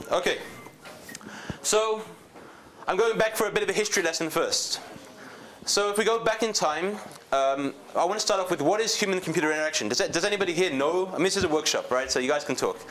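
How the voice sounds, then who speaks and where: A man with a high voice speaks very fast, his loudness very even. He leaves long, frequent pauses against noticeable background noise. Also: ordinary pitch variation. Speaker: tech company CEO giving a workshop talk. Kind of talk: workshop presentation. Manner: casual, hesitant with fillers.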